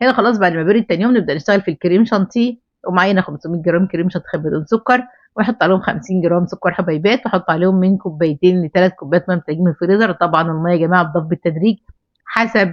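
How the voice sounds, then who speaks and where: Very fast talk from a woman at a medium pitch, with ordinary pitch variation. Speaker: baking instructor. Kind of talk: tutorial. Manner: hesitant fillers.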